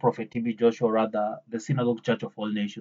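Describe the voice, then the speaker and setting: A man's somewhat breathy voice, its pitch varying in an ordinary way. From Africa. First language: not English. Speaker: YouTuber. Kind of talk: commentary monologue.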